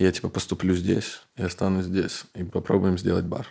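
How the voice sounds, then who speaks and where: A normal speaking voice from a man, fairly low-pitched and at a fairly quick pace. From Belarus. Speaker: bar owner, entrepreneur. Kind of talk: casual interview chat.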